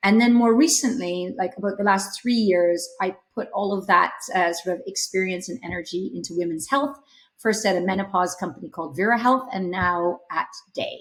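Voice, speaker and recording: With a Canadian accent, a woman speaks in a normal speaking voice at a medium pitch, with ordinary pitch variation and a moderate pace. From Canada. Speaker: startup CEO. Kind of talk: podcast interview.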